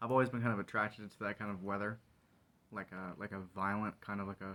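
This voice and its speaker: Soft-spoken, a man talks at a very fast pace with a fairly low pitch. His tone is bright and sharp, and his intonation is monotone and flat. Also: big swings in loudness. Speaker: vlogger. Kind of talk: casual monologue. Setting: garage.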